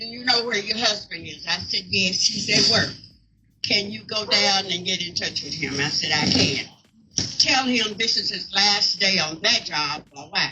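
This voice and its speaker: A medium-pitched woman with a Southern US accent, moderate pace, ordinary pitch variation, big swings in loudness and noticeable background noise. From Mississippi. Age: 80s+. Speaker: co-founder of veterans house. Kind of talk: speech at community event.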